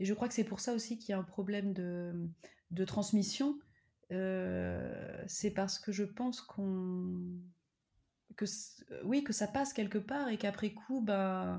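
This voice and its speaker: Over a very clean recording with a silent background, a dark, mellow tone unfolds at a very slow pace with long, frequent pauses and ordinary pitch variation. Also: woman. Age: 30s. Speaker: PhD student and mother. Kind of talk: interview, personal testimony. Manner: hesitant, many fillers.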